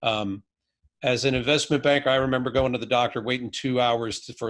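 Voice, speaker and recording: A man with a plain, everyday voice and medium pitch talks at a fairly quick pace. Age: 50s. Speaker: physician. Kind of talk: podcast interview. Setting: remote video call.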